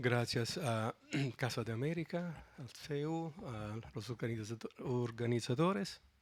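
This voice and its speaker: A man speaks with a non-native accent at medium pitch. His pace is very slow, with ordinary pitch variation. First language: Italian (speaking Spanish). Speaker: philosophy of law professor. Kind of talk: conference talk.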